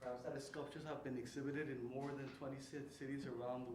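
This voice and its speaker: With a Spanish accent, a man talks at a fairly quick pace in a monotone, flat delivery at a medium pitch, with audible room echo and noticeable background noise. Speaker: writer and lecturer. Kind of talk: lecture. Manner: halting.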